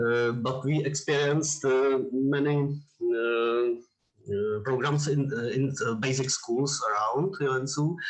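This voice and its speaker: A man's very slow, fairly even-toned delivery at very even loudness, with audible room echo. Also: fairly high pitch for a man. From Czech Republic. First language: Czech. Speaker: audience member. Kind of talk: Q&A question. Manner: halting.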